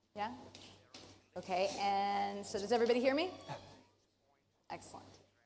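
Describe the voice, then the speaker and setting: At a moderate pace, a woman speaks with audible room echo. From Canada. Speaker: professor. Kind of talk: conference talk. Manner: casual.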